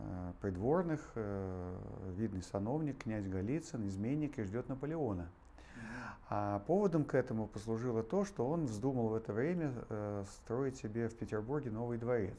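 A man's tone is dark and mellow. He speaks at a moderate pace. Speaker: interview guest. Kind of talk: interview answer, storytelling. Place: hall. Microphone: lapel.

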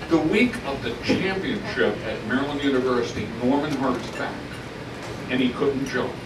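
There is noticeable background noise behind a man speaking. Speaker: speaker. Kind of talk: reminiscing speech to audience. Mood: nostalgic, humorous. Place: hall.

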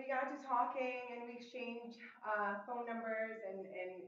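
A woman speaks at a moderate pace with a fairly high pitch. The room echo is audible, and light background noise sits underneath. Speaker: walk participant; presenter. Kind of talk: presentation. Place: hall. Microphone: camera far.

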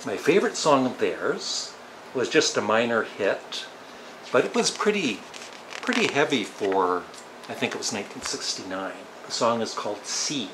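With a Canadian accent and a calm, relaxed tone, the speaker swings very widely in pitch and takes long, frequent pauses amid noticeable background noise. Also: man. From Ontario, Canada. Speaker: YouTuber. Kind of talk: casual talk to camera. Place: home room. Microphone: webcam.

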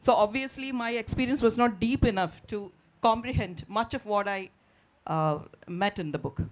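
Her pitch shows ordinary variation. The woman keeps a moderate pace. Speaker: panel moderator and translator. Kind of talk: literary festival panel discussion. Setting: stage with audience. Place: stage. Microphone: handheld.

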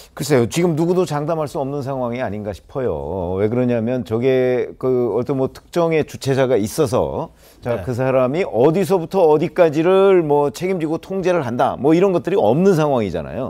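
A man's fairly high voice with a dark, mellow tone, lively intonation, moderate pace and hardly any pauses, over a quiet background. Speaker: panel commentator. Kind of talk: TV panel discussion. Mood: serious, measured. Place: studio. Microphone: lapel.

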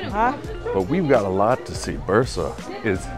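Clear music plays in the background as a man talks at a fairly slow pace. The sound is dry, with no echo. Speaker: travel vlogger. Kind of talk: casual vlog chat. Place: street. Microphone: phone near.

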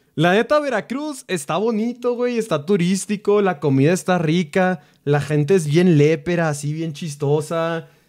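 Against a quiet background, a man with a Mexican accent talks in an animated tone at a high pitch, fairly slowly, with lively intonation and hardly any pauses. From Mexico. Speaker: streamer. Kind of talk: casual chat. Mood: relaxed, joking. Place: home room. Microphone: studio mic.

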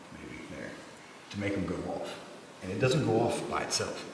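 Speaking at a moderate pace, a man shows big swings in loudness. Audible room echo and noticeable background noise fill the recording. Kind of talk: casual explanation to companion. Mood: curious, slightly uneasy. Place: tunnel cave. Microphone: camera far.

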